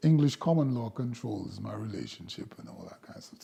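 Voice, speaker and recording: Very wide pitch swings run through this man's dark, mellow tone. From Jamaica. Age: 70s. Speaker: sculptor and community elder. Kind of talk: oral history interview.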